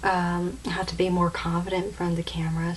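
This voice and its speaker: A woman is speaking. The room echo is audible. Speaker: beauty vlogger. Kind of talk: tutorial. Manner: halting.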